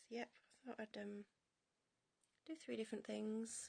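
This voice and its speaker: This woman's voice sits fairly high and is somewhat breathy. Her tone is dark and mellow. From northern England, York. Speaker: henna artist livestreaming. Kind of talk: casual livestream chat while drawing.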